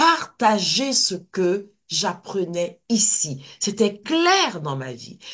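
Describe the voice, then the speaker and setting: A woman at medium pitch speaks at a very slow pace with hardly any pauses, vocal fry, very wide pitch swings and big swings in loudness. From Côte d'Ivoire. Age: 60s. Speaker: kinesiologist and personal-development teacher. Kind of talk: interview. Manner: animated.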